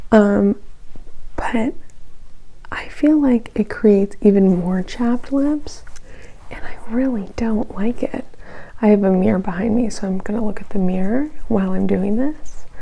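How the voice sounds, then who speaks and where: A woman speaks with a fairly high pitch and ordinary pitch variation. Her pace is fairly slow, with long, frequent pauses and noticeable background noise. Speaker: beauty vlogger. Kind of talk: casual get-ready-with-me vlog. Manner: casual, rambling with fillers.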